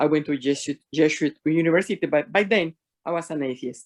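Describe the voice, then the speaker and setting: Against a quiet background, a woman with a very deep, low pitch speaks at a moderate pace with ordinary pitch variation, the sound dry and close with no echo. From Mexico. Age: 60s. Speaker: faith mentor. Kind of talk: testimony.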